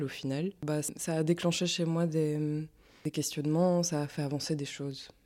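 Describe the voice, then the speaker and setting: Very deep and low, a woman's dark, mellow voice carries fairly even intonation on a very clean recording with a silent background. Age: 20s. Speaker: exhibition participant. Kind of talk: personal testimony. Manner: halting, many fillers.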